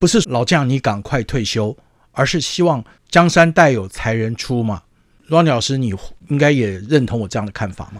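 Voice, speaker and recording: A normal speaking voice at a moderate pace, with lively intonation, on a very clean recording with a silent background. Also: man, medium pitch for a man. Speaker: sports radio host. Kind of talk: casual chat.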